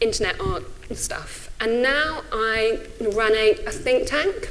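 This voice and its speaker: Someone speaks at a very slow pace. There is audible room echo. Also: woman. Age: 40s. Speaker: think tank director. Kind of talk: conference talk. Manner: halting.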